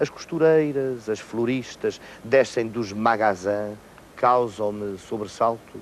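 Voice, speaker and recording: With a European Portuguese accent, a man speaks at a very slow pace and medium pitch with ordinary pitch variation. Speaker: actor. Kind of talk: poetry reading.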